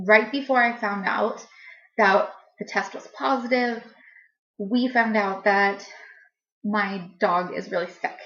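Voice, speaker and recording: At a very slow pace with long, frequent pauses, a woman speaks in a fairly high pitch with ordinary pitch variation. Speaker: pregnancy vlogger. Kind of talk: casual vlog.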